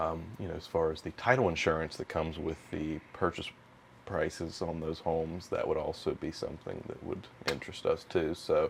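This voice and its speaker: A man at a moderate pace with a West Virginia accent. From northern West Virginia. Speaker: title company business development rep. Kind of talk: podcast interview.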